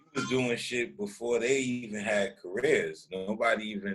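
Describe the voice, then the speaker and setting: Music plays in the background as a man talks at a moderate pace. His pitch varies in an ordinary way. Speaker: rapper. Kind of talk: interview. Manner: casual slang-heavy.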